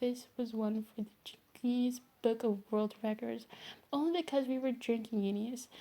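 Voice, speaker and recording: This woman is soft-spoken, with a fairly high voice and a dark, mellow tone. She talks at a fairly quick pace in a monotone, flat way. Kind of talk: read story.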